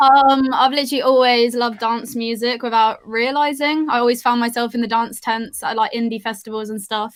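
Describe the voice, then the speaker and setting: A woman's high-pitched voice with a West Country accent, fairly quick and monotone, flat, with hardly any pauses. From Somerset, England. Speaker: drum and bass vocalist. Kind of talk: casual chat.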